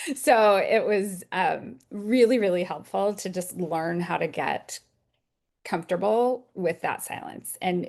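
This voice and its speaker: With an American accent, a woman speaks at a fairly slow pace and medium pitch, with ordinary pitch variation, over a quiet background. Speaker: executive coach. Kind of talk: interview answers. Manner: animated.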